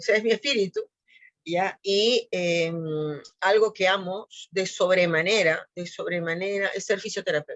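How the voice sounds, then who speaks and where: This woman has a plain, everyday voice with a medium pitch and ordinary pitch variation. She speaks at a fairly slow pace. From Peru. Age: 60s. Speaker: physiotherapist. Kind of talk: interview.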